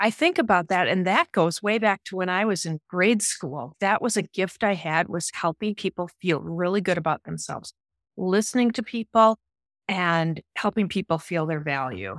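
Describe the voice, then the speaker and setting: A woman speaks with an American accent in a plain, everyday voice at a medium pitch, with ordinary pitch variation. Her pace is moderate, and the sound is dry and close with no echo. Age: 60s. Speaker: life coach. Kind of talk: casual interview chat. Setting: live streamed online.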